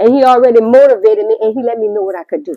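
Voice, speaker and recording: A woman with an American accent speaks at a high pitch against a quiet background. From US, Louisiana / Pennsylvania. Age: 60s. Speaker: author and liturgical dancer. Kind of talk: interview testimony.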